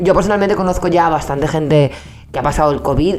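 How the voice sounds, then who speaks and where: With music in the background, the speech runs at a very fast pace with ordinary pitch variation. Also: woman. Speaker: comedy podcast co-host. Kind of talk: casual conversational talk show. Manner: blunt, emphatic.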